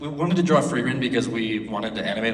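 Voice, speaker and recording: Audible room echo and noticeable background noise accompany a man whose speech races at a very fast clip. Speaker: animation studio founder. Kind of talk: convention panel talk. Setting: stage with audience. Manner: repeats words, halting.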